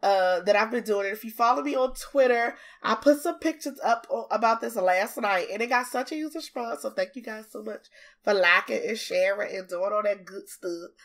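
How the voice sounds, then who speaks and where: On a very clean recording with a silent background, a woman with a fairly high pitch talks at a fairly quick pace in an animated tone, her intonation lively and her loudness swinging widely. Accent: Southern. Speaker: gaming YouTuber. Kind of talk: casual chat.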